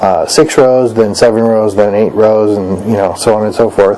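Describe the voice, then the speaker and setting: Quietly and with fairly even intonation, a man speaks at a fairly low pitch over noticeable background noise. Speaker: crafts vlogger. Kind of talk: casual vlog monologue. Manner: quiet, talking low; halting, many fillers.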